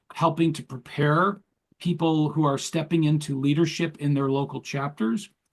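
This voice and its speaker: A man with a fairly high pitch speaks in a somewhat breathy voice, keeping his intonation fairly even. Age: 60s. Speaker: entrepreneur and leadership coach. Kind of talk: interview.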